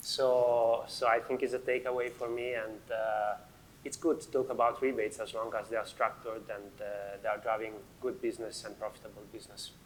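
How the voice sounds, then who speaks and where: A man with an Italian accent is speaking. His pace is fairly quick. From Italy. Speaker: finance manager. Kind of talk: panel discussion.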